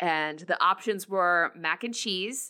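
Bright and sharp in tone, the voice has an American accent, a fairly slow pace and ordinary pitch variation, in a very clean recording with a silent background. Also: woman. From New Jersey. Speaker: hockey blog editor and podcast co-host. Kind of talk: casual chat.

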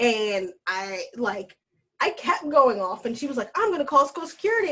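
A woman with an American accent uses a raised, projected voice with a bright, sharp tone, very wide pitch swings and a moderate pace. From US South, Alabama. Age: 20s. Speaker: Marine Corps veteran. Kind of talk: casual chat.

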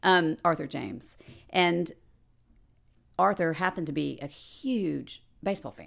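A woman's fairly low, fry-tinged voice with an American accent, fairly slow and broken by long, frequent pauses, with big swings in loudness and ordinary pitch variation in a very clean recording with a silent background. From Dallas, Texas. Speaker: PR agency owner and painter. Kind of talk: casual interview.

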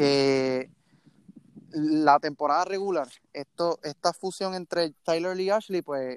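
A man's high-pitched voice, dry and close with no echo, in a very clean recording against a silent background. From Puerto Rico, Mayagüez. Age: young. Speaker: sports team social media director. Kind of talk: casual sports chat. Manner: halting, frequent repetitions.

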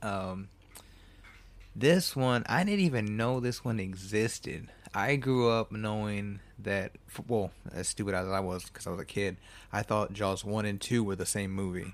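In a very clean recording with a silent background, a man talks at a fairly slow pace in a fairly low pitch with ordinary pitch variation. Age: 30s. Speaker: solo movie review podcast host. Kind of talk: casual solo movie commentary. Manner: animated.

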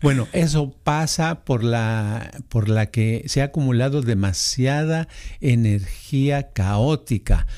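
Over a silent background in a very clean recording, a man speaks at a very slow pace in a dark, mellow tone, with medium pitch, ordinary pitch variation and very even loudness. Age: 70s. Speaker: podcast host. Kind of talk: casual chat.

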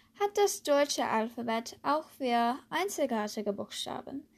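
A woman talks at a very slow pace with an American accent. Her pitch swings very widely. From USA. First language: English (speaking German). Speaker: language learning podcaster. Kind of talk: tutorial.

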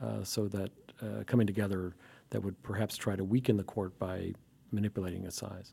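A dark, mellow tone at a fairly quick pace, with an American accent. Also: man. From US South, Alabama. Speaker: law professor. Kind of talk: casual chat.

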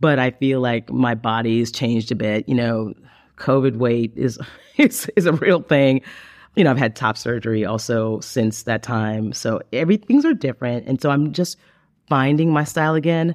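Speaking in an ordinary speaking voice, a man uses a medium pitch with ordinary pitch variation at a moderate pace. The background is quiet, and the sound is dry and close with no echo. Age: 50s. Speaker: audiobook narrator and podcast guest. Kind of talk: casual interview. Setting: video call.

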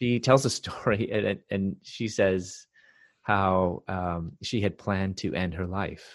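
Over a quiet background, the speech goes at a very slow pace with fairly even intonation. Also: man, fairly low pitch for a man. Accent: Chicago. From US Midwest, Chicago. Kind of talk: interview.

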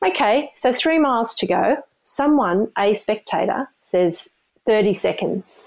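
With an Australian accent, a woman speaks at a very slow pace and a fairly high pitch, with lively intonation and very even loudness. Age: 50s. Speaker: amateur ultrarunner. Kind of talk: storytelling interview. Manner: animated.

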